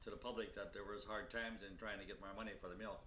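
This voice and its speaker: The man's bright, sharp tone sits at a fairly low pitch, carrying an American accent through audible room echo. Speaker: elderly interviewee recalling his life. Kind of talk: oral history interview. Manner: halting, many fillers.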